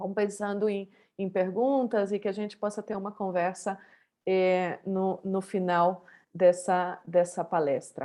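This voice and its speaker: Against a quiet background, a woman of medium pitch speaks at a fairly slow pace in a dark, mellow tone with fairly even intonation. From Brazil, Santa Catarina. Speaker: professor. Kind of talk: keynote lecture. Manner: hesitant, many fillers; informal.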